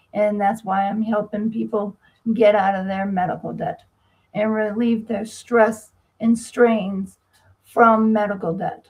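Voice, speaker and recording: Somewhat breathy, a woman speaks with an American accent at a fairly slow pace. Her intonation is monotone and flat. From US Northeast, Massachusetts. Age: 60s. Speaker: medical debt specialist and author. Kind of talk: interview. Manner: halting.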